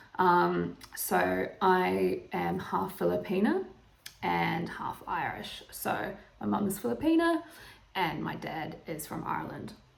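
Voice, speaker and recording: Amid audible room echo, a woman with a New Zealand accent speaks at a very slow pace. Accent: Kiwi. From New Zealand, Northland. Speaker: YouTuber. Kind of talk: casual vlog monologue. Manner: hesitant, many fillers.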